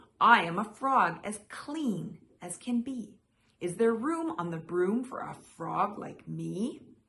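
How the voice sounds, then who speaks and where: Using a croaky, put-on character voice, a woman speaks at a medium pitch and a fairly slow pace. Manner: polite.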